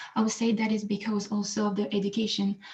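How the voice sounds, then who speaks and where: Somewhat breathy, a woman speaks at medium pitch. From France. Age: 20s. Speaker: debater. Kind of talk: debate. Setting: video call.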